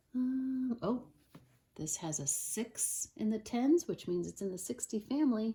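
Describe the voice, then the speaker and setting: Very slowly, a woman speaks in a dark, mellow, somewhat breathy voice. Her pitch swings very widely. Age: adult. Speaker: Montessori teacher. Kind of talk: tutorial.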